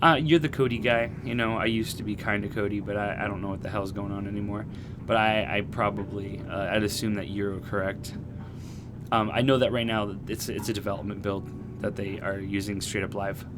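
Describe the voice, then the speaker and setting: Audible room echo surrounds a man talking at a fairly quick pace. His fairly low voice keeps a fairly even intonation. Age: 30s. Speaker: gaming streamer. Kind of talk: live stream gameplay commentary. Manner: casual, conversational.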